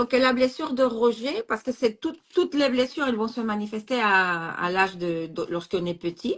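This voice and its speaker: A woman talks at a fairly high pitch with very wide pitch swings. She keeps a moderate pace with hardly any pauses. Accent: non-native. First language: not French (speaking French). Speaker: astrologer. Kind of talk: casual chat. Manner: halting.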